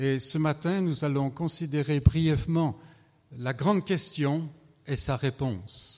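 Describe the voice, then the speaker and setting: A man at a very slow pace, fairly high in pitch, with ordinary pitch variation. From France. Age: 70s. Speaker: visiting preacher. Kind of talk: sermon.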